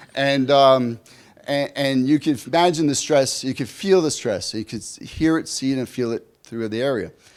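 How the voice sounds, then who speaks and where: A man with a New York accent speaks in an animated tone at a fairly high pitch and moderate pace, with ordinary pitch variation. The recording is very clean, with a silent background. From US Northeast, New York City. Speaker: leadership coach. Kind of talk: keynote speech. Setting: conference stage with audience.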